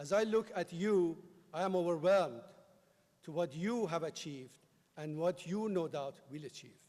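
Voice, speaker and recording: Long, frequent pauses in a Persian accent, with a moderate pace, big swings in loudness, and ordinary pitch variation. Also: man. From Iran. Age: 50s. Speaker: commencement speaker. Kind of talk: commencement speech. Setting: stage with audience.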